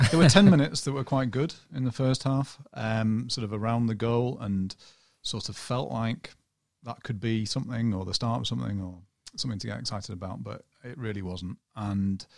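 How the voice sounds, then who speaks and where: A man speaks at a medium pitch and a moderate pace, his loudness swinging widely. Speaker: podcast guest, football journalist. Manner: monotone.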